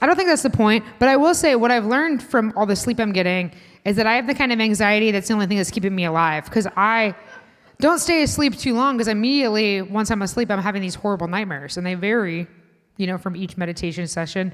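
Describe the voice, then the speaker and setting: A woman's fairly high voice at a very fast pace, with lively intonation and a Chicago accent. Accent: Midwestern (Chicago) vowels. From US Midwest, Indiana. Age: 30s. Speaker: comedian. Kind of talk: stand-up. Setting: stage with audience at a restaurant.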